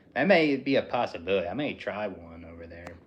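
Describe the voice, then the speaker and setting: A somewhat breathy voice with an American accent. It moves at a moderate pace. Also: man. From Philadelphia, US. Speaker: livestreamer. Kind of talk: casual livestream chat. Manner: monotone.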